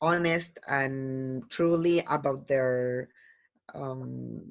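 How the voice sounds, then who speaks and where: This is a woman's voice. She speaks with a Spanish accent. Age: 60s. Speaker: language student. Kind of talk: oral language exam. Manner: halting, many fillers.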